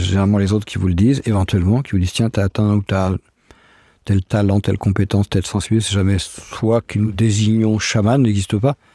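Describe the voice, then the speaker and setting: On a very clean recording with a silent background, a man with a dark, mellow tone talks at a fairly quick pace in a dry, close sound with no echo. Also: very even loudness. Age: 60s. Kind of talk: interview.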